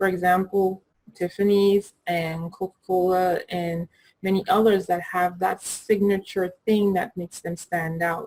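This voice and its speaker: Speaking in a Caribbean accent, a woman goes at a fairly slow pace with a medium pitch and monotone, flat intonation. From Caribbean, US Virgin Islands (Saint Thomas). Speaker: graphic designer and brand coach. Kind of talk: tutorial. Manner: casual, conversational.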